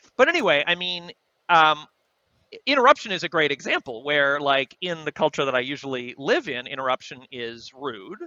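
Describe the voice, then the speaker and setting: This man's voice sits at a fairly high pitch. He speaks with lively intonation. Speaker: podcast panelist. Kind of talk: casual chat. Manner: fast; halting.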